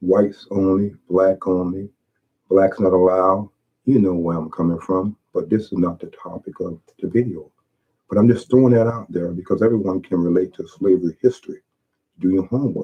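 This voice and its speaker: Fairly even in intonation, a man with an American accent speaks at a very deep, low pitch. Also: moderate pace. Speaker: YouTuber. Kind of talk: video monologue. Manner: halting.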